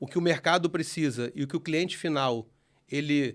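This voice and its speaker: A man talks at a moderate pace. The recording is very clean, and the background is silent. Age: 40s. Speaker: sales franchise owner, guest. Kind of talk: casual interview chat. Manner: animated.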